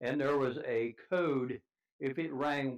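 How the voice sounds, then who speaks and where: A man with a Midwestern US accent speaks at a medium pitch with fairly even intonation. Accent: rural Midwestern American. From US Midwest, rural southeastern Indiana. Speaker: grandfather interviewed about family history. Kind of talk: casual interview, reminiscing.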